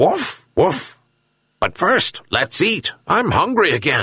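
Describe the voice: A man uses a put-on character voice with a fairly high pitch, very wide pitch swings and a bright, sharp tone with a husky, rough edge. He speaks at a slow pace.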